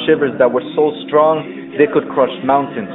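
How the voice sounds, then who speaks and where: A man speaks with music in the background. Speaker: spoken word poet. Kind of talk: spoken word poetry performance.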